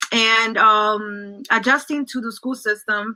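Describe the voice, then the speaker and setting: A woman with a Spanish accent has a fairly high pitch and a bright, sharp tone. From El Salvador, then New Jersey from age nine. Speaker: social work graduate student, former school staff. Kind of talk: interview.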